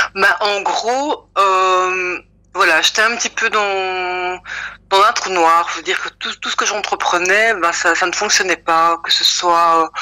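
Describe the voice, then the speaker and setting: A woman with a medium-pitched voice speaks at a very slow pace. Her intonation is fairly even. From Belgium, Brussels. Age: 40s. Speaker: testimony giver. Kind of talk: testimony. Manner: halting, many fillers.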